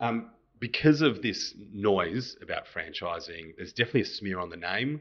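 Fairly low male voice in an Australian accent, lively intonation and big swings in loudness, at a moderate pace. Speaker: podcast host, accountant. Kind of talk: interview. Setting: office.

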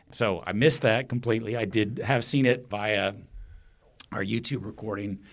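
A man at a medium pitch, keeping fairly even intonation at a moderate pace. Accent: Texan. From Texas, Austin. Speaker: festival organiser. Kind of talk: interview. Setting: studio.

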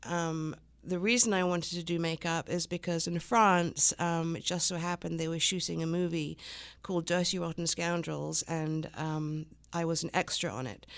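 A woman with an English accent and a fairly low pitch talks at a moderate pace with fairly even intonation, recorded very cleanly against a silent background. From England. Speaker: business owner. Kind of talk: radio interview. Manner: hesitant, many fillers.

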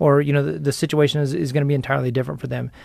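The man's voice is pitched fairly high. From United States. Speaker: wheelchair basketball coach. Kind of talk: casual interview.

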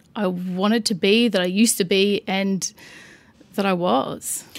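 A woman speaks with an Australian accent at medium pitch. Her intonation stays monotone and flat. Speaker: financial services director. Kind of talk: interview.

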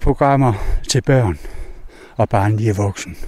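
The voice belongs to a man and sits at a medium pitch. It varies in pitch in an ordinary way. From East Jutland, Denmark. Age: 60s. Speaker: wolf protection activist. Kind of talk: interview.

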